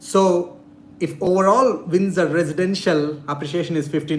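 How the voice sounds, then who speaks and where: Someone with a non-native accent talks at a fairly quick pace with fairly even intonation, and the room echo is audible. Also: man. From India. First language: not English. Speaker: real estate investor and YouTuber. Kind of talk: live-stream Q&A. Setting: live stream.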